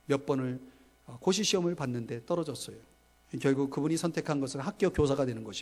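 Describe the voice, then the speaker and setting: A fairly high-pitched man at a very fast pace, with ordinary pitch variation and big swings in loudness. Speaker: pastor. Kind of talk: sermon. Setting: church. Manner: animated storytelling.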